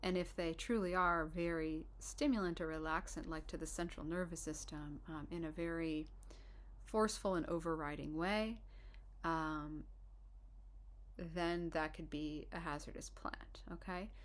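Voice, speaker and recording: A woman's fairly low voice, fairly slow and fairly even in intonation, with audible room echo. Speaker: herbalist and herbal instructor. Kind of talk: informal lecture. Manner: soft-spoken; hesitant, many fillers and restarts.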